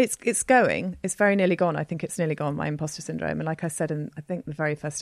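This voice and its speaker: In a very deep, low pitch with vocal fry, a woman talks very fast, her pitch varying in an ordinary way. The sound is dry and close with no echo, and the recording is very clean, with a silent background. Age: 40s. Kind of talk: casual chat.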